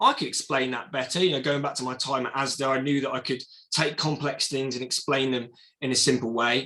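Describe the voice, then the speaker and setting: A man speaks in an English accent with a bright, sharp tone. His pace is fairly quick. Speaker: entrepreneur. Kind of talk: presentation. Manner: fast.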